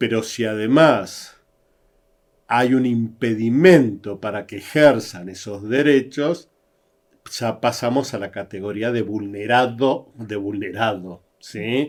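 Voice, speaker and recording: A man with an Argentine accent, medium-pitched and very slow, with big jumps in loudness, ordinary pitch variation, and a very clean recording with a silent background. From Argentina. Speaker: psychologist and diversity consultant. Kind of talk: interview conversation. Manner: halting.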